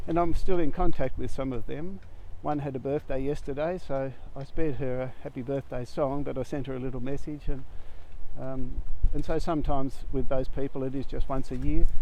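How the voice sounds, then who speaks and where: A man with an Australian accent speaks at a fairly quick pace in a medium pitch, his dark, mellow tone carrying fairly even intonation while his loudness swings widely. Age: 70s. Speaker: conservation volunteer. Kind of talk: personal testimony. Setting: outdoors. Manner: casual, with hesitations.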